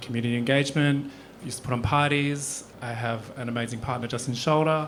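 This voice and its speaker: A man with an Australian accent, fairly even in intonation, in a room with audible echo. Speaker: panellist, costume designer. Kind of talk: panel introduction. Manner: halting.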